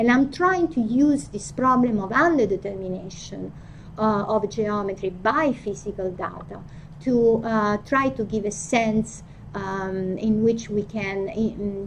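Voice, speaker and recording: In an Italian accent, a woman speaks at a fairly slow pace and a medium pitch. Her pitch varies in an ordinary way, and the room echo is audible. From Italy. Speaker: philosophy of physics professor. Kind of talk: academic lecture. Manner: halting, frequent fillers and restarts.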